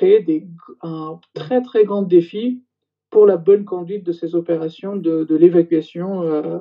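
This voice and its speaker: With music playing in the background, a man talks at a fairly slow pace in a high pitch, his intonation fairly even. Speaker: former intelligence general. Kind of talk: interview testimony. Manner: halting, many hesitations.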